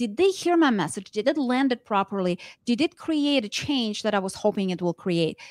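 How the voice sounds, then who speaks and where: A woman's fairly high voice with very wide pitch swings at a moderate pace, dry and close with no echo, in a very clean recording with a silent background. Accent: non-native. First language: not English. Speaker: network marketing trainer and speaker. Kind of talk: interview.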